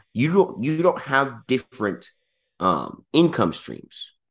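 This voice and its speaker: Fairly slow delivery with vocal fry and very wide pitch swings over a quiet background. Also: man. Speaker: podcast host and business consultant. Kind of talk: casual podcast chat, business talk. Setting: video podcast recording.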